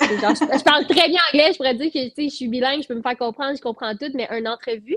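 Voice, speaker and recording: Speaking very fast, a woman talks with a Quebec accent at a high pitch. Her pitch varies in an ordinary way, and the sound is dry and close with no echo. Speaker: singer-songwriter. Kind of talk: casual interview chat.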